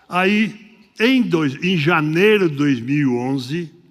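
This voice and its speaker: With lively intonation and a fairly high pitch, a man talks at a very slow pace amid audible room echo. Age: 80s+. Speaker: pastor. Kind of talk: sermon. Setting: church. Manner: halting.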